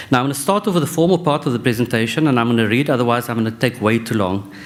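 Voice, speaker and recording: Noticeable background noise surrounds the recording. A man speaks at a medium pitch. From South Africa, Western Cape. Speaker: professor. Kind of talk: conference talk. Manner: halting.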